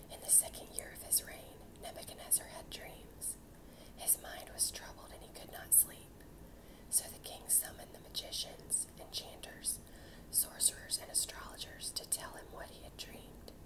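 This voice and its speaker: Noticeable background noise accompanies a woman who whispers at a moderate speed. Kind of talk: whispered Bible reading for sleep and relaxation. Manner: whispered, soft.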